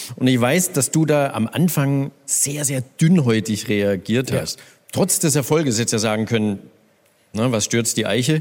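Speaking at a fairly slow pace, a man uses a normal speaking voice of medium pitch with lively intonation. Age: 50s. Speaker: radio host. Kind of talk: live stage interview. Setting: stage with audience.

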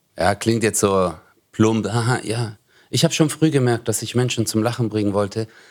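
A man with an unremarkable speaking voice talks at a medium pitch and moderate pace in a fairly even intonation, on a very clean recording with a silent background. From Stuttgart, Germany. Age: 40s. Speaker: comedian. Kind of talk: casual chat.

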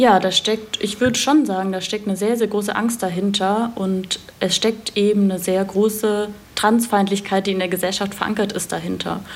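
Against noticeable background noise, a woman speaks at a moderate pace in a medium pitch with monotone, flat intonation. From Swabia, southern Germany. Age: 30s. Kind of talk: explanatory interview. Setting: remote internet call.

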